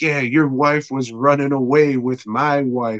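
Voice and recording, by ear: A man uses a put-on character voice at medium pitch. He speaks at a fairly slow pace with monotone, flat intonation.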